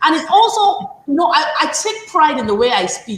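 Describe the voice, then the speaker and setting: Amid noticeable background noise, the woman's pitch swings very widely as she talks fairly quickly. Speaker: show host and school owner. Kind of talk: panel discussion. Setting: livestream.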